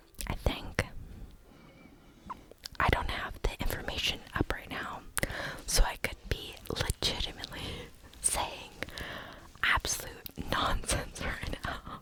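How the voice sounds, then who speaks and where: Over noticeable background noise, a whisper moves very slowly, broken by long, frequent pauses. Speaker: ASMR content creator. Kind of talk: ASMR gaming whispered rambling; casual talk to camera. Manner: whispered, rambling.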